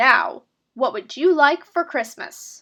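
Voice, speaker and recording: A woman's put-on character voice, high-pitched and growling, with lively intonation. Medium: read story.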